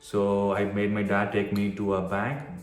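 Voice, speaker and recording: Over music in the background, a man with an Indian accent speaks at a fairly low pitch. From Tamil Nadu, India. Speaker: physician. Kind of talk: casual talk to camera.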